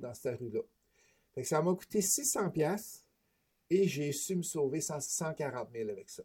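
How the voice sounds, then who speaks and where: A man with a fairly high voice speaks very slowly with lively intonation, a dark, mellow tone, and long, frequent pauses. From Quebec, Beauce. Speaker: real estate investor and trainer. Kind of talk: interview.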